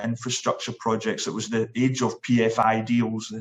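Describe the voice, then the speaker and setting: With a Scottish accent, a man speaks at a moderate pace and medium pitch in a monotone, flat intonation. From Scotland, Glasgow. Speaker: sports event chief executive. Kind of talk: interview. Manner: hesitant, many fillers.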